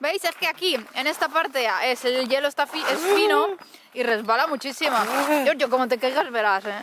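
A woman with a high voice talks at a moderate pace, her tone animated and her intonation lively. The sound is dry with no echo, though there is noticeable background noise. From Spain, Alicante. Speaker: travel vlogger. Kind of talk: casual vlog. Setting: outdoors in snow. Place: open country. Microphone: phone near.

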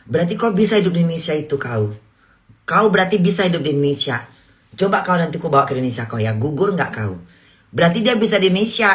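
With vocal fry and very wide pitch swings, a woman talks very fast at a fairly low pitch over a quiet background. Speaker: livestream host. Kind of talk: casual livestream chat. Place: home room. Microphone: phone near.

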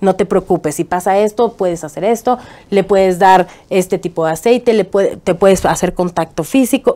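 With ordinary pitch variation, a woman's speech keeps a moderate pace. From Mexico, Chihuahua. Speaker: political activist and TV presenter; TV presenter. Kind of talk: interview. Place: studio. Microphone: lapel.

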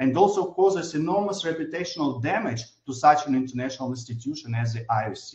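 A man talks at a moderate pace in a fairly high, somewhat breathy voice. The background is quiet, with audible room echo. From Ukraine. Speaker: government minister. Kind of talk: formal prepared speech. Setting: remote video link. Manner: formal. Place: office. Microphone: video call.

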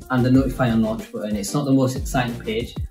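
Someone with a Yorkshire accent talks over music playing in the background. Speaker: animation studio co-founder. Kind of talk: casual talk to camera.

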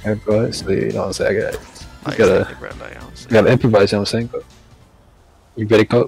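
A man's put-on character voice, drawling at a moderate pace with long, frequent pauses, faint music in the background. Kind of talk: comic street-talk impression. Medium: game stream. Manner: laid-back, drawling, repeats 'God' and 'you know what I'm saying'.

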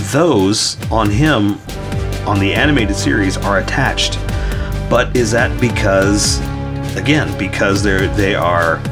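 Clear music plays in the background as a man talks at a fairly slow pace with long, frequent pauses. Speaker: artist drawing tutorial host. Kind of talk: casual tutorial commentary while drawing. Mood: mildly frustrated, self-deprecating.

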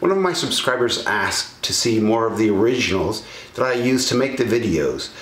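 A man talking at a fairly quick pace amid audible room echo. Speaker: presenter. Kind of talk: scripted narration to camera. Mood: enthusiastic, then mildly regretful.

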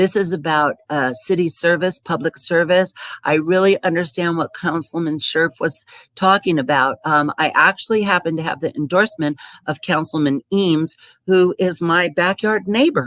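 With an American accent, a woman speaks at a moderate pace with a fairly low pitch and ordinary pitch variation, in a dry, close sound with no echo. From US West Coast. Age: 60s. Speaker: city council candidate. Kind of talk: candidate forum speech. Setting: public forum.

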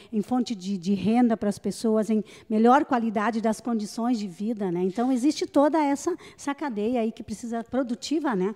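A dark, mellow tone comes through at a moderate pace against a quiet background. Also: woman, fairly high pitch for a woman, ordinary pitch variation. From Rio Grande do Sul, Vale do Taquari; Rio Grande do Sul. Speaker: radio host. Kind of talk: live radio interview. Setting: on location at a memorial, live broadcast. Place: hall. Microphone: handheld.

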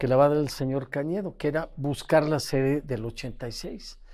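A man speaks with a Mexican accent. The background is quiet. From Mexico. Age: 80s+. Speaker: former football federation president. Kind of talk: interview. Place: home room.

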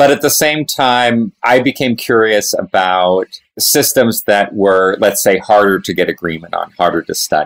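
A man with a normal speaking voice and medium pitch talks at a fairly slow pace with lively intonation and hardly any pauses, in a dry, close sound with no echo. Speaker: professor. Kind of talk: casual chat.

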